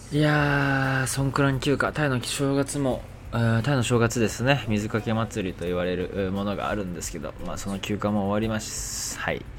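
With ordinary pitch variation and a medium pitch, a man talks at a moderate pace over noticeable background noise. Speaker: podcaster. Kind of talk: casual monologue.

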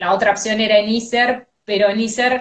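A woman at a fairly slow pace. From Argentina, outside Buenos Aires. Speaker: radio host. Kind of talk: casual chat. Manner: energetic, cheerful.

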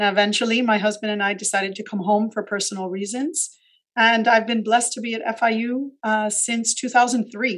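A woman talks at a moderate pace with a fairly high pitch and fairly even intonation. It is a plain, everyday voice. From Miami, Florida (Cuban American family). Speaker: university administrator. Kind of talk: interview.

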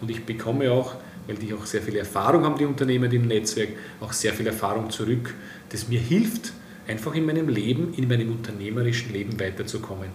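A man with an Austrian accent speaks at a medium pitch with ordinary pitch variation, amid noticeable background noise and audible room echo. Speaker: business network executive. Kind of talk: interview.

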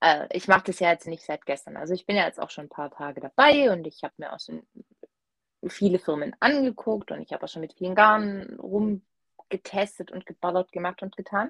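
Dry and close with no echo, a woman's plain, everyday voice comes at a medium pitch and fairly quick pace, with lively intonation and big swings in loudness. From Swabia, Germany. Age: 30s. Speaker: knitter, guest co-host. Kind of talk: casual chat.

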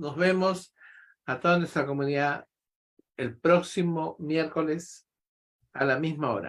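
Lively intonation carries this fairly slow delivery. The recording is very clean and the background is silent. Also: man. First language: Spanish. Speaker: podcast host. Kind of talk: interview.

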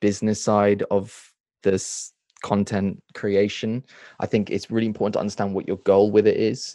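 A man speaks in a dark, mellow tone with monotone, flat intonation. The background is quiet. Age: 20s. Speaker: book reviewer and content creator. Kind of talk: casual interview.

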